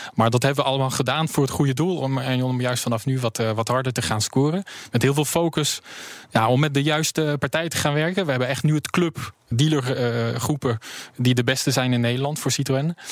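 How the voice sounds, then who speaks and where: A man uses a normal speaking voice at a fairly quick pace. His intonation is fairly even and his loudness very even. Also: medium pitch for a man. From France, Paris. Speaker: car company director. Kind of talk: radio interview.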